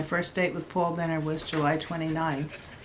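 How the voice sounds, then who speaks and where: Noticeable background noise sits behind this recording. A woman with a fairly low pitch speaks at a moderate pace. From New Jersey. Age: old. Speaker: interviewee, retired artist. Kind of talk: casual interview.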